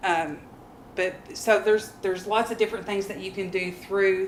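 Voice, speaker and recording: There is noticeable background noise behind a woman speaking at a fairly quick pace. Her medium-pitched voice has monotone, flat intonation. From Kentucky. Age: 30s. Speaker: middle school math teacher. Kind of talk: workshop presentation. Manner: halting, many fillers.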